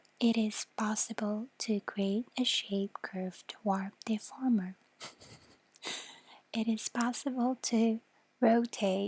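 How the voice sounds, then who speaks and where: A woman speaks very slowly at a fairly high pitch, somewhat breathy and monotone, with long, frequent pauses in a dry, close sound with no echo. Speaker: vtuber, ASMR streamer. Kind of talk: ASMR reading of a software tutorial. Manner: soft-spoken, slow, hesitant.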